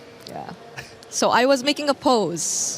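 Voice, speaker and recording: A woman speaks at a very slow pace. Noticeable background noise sits behind her. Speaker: esports broadcast talent. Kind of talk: casual interview segment. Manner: quiet.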